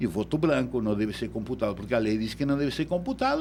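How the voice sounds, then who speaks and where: A man is speaking. He has a Uruguayan accent. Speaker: electoral law expert. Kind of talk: radio interview.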